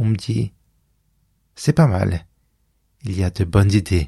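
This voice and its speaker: A man's dark, mellow, somewhat breathy voice, fairly low in pitch with ordinary variation, at a very slow pace. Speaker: podcaster. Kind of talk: scripted narration; voice message.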